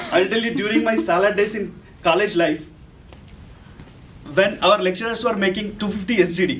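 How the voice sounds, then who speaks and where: A man with an Indian accent speaks at a fairly quick pace in a high voice, his intonation fairly even and his pauses long and frequent. Noticeable background noise and audible room echo fill the recording. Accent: Indian English (Telugu). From India, Telugu-speaking state. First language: Telugu. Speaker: analyst developer, club member. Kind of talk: prepared speech. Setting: club meeting with audience.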